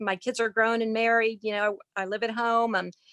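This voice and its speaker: A woman speaks at a moderate pace in a fairly high pitch, an ordinary speaking voice. The sound is dry and close, with no echo. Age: 60s. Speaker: caller with low vision. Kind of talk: casual chat. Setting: video call.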